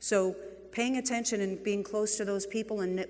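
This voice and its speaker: In a room with audible echo, a woman with a New England accent talks fairly quickly at a medium pitch. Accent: New England (Boston-like) accent, noticeable. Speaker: real estate executive, keynote speaker. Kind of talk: conference keynote talk. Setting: stage with audience. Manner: animated.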